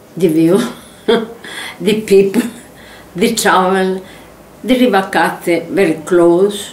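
A woman with a Sicilian accent speaks at a very slow pace with long, frequent pauses, ordinary pitch variation and very even loudness. Audible room echo can be heard. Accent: Italian (Sicilian). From Sicily, Italy. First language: Italian. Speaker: former primary school teacher. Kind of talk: oral history interview answer. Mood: warm, cheerful. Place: home room.

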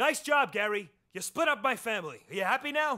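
In a cartoonish character voice, a man speaks at an extremely high pitch and a fairly quick pace, his tone bright and sharp and his intonation lively.

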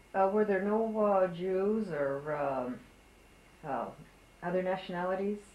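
A woman speaks at a medium pitch with ordinary pitch variation, at a fairly slow pace. Her long pauses come often, and background noise is noticeable. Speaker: oral history interviewer. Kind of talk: oral history interview. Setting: interviewee's home. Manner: hesitant, many fillers.

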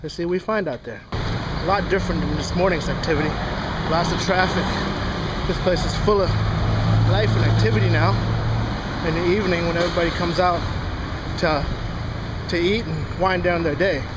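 The man's fairly quick speech competes with loud background noise. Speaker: travel vlogger. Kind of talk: casual vlog chat. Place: street. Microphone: phone near.

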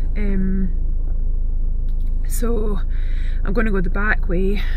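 Noticeable background noise sits behind a woman's voice. She speaks fairly slowly, and the sound is dry with no echo. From Scotland. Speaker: animal sanctuary owner. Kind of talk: casual talk to camera. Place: car. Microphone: phone near.

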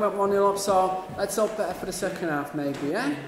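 There is audible room echo around a man speaking. His pitch is high and his pace moderate.

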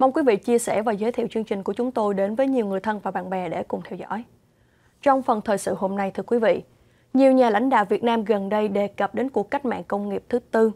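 A woman's dark, mellow tone at a fairly high pitch, with ordinary pitch variation, a very fast pace, and a quiet background. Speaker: news anchor. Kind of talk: news reading. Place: studio. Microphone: lapel.

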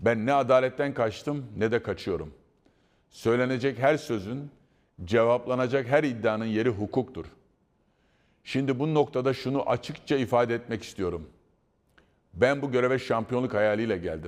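A man at medium pitch in a calm tone, with ordinary pitch variation, a moderate pace, and long, frequent pauses. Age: 60s. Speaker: football club president. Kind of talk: prepared public statement. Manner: formal.

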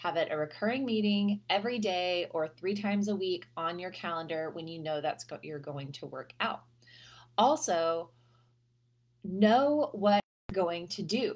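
A woman speaks fairly slowly with lively intonation and big swings in loudness. The background is quiet. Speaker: health coach. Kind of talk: casual advice vlog. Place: home room. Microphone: webcam.

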